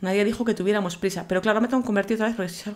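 A woman's voice at medium pitch. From Galicia, Spain (Vigo). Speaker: gaming YouTuber. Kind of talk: gameplay commentary. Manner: animated.

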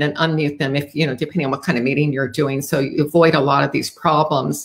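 A woman's low-pitched voice with a slightly husky edge, a fairly quick pace and ordinary pitch variation

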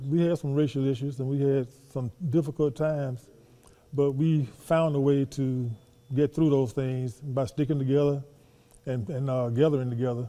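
In a Southern US accent, a man speaks at a fairly high pitch. His intonation is fairly even, and his pace is moderate. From US South. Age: 70s. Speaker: former professional basketball player. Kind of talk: interview. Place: hall.

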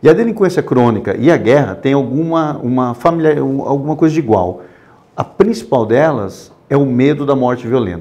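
Using very wide pitch swings, a man with a medium-pitched voice and a dark, mellow tone talks at a moderate pace. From Brazil, interior of São Paulo (Botucatu); São Paulo, Brazil. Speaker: war photographer; interview guest. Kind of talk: interview. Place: studio.

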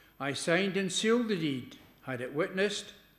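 Someone speaks at a moderate pace with audible room echo. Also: man. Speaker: lay scripture reader. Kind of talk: scripture reading. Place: church. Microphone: podium.

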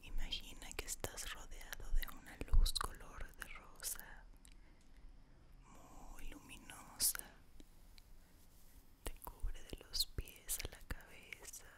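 A soft-spoken woman whispers at a very slow pace, with long, frequent pauses. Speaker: ASMR creator. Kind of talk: guided relaxation whisper. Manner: soft close-mic ASMR whisper. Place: home room. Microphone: studio mic.

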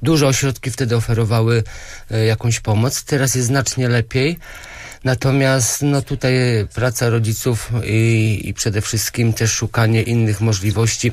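Fairly even intonation comes in a voice that is somewhat breathy. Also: man, medium pitch for a man, moderate pace, very even loudness, dry sound with no echo. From Poland, Grudziądz; Poland. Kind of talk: radio interview. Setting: radio studio. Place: studio.

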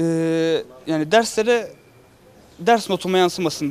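Light background noise sits behind a man with a high pitch. He speaks at a moderate pace with lively intonation. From Turkey (Sivas roots); Turkey. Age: young. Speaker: semah teacher at a cemevi. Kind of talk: interview. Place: street. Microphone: handheld.

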